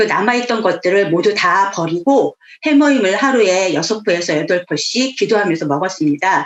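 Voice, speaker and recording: Over noticeable background noise, a woman talks at a moderate pace and medium pitch with hardly any pauses. Her intonation is lively and her loudness very even. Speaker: network marketing businesswoman. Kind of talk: motivational talk. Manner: clipped, abrupt speech; commanding tone.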